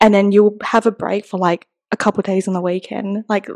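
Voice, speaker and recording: A woman with an Australian accent speaks at a medium pitch. Her pace is fairly quick, and the sound is dry and close with no echo. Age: 20s. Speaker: podcast host. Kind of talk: casual chat.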